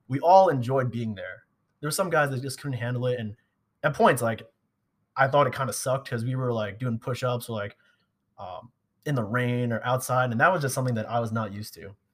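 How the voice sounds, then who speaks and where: A man of medium pitch speaks at a fairly quick pace, somewhat breathy, with big swings in loudness. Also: ordinary pitch variation. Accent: American. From Long Island, New York. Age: 20s. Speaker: army officer. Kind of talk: casual chat. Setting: gym.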